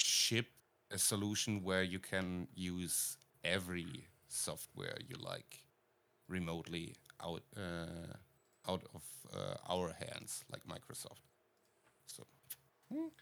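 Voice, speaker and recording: Speaking very slowly with a German accent, the voice keeps fairly even intonation and leaves long, frequent pauses. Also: man, very deep, low pitch for a man. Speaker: podcast co-host, video producer. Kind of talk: casual chat. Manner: halting, many fillers.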